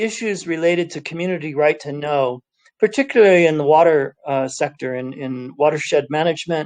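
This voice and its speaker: A man speaks with a slight Californian accent and a high pitch. His pitch varies in an ordinary way. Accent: slight California. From US, California (Cupertino). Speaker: UN environment official. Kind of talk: panel talk. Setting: video call from home office.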